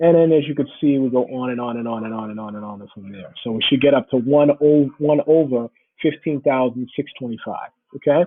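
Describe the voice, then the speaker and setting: A man's medium-pitched voice, a normal speaking voice, at a fairly quick pace with ordinary pitch variation and big swings in loudness. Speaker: math teacher. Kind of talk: lecture.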